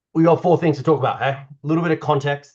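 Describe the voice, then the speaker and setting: Against a quiet background, a man speaks with an Australian accent in a somewhat breathy voice. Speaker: doctor and climate-health strategist. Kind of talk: online meeting presentation. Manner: casual, conversational.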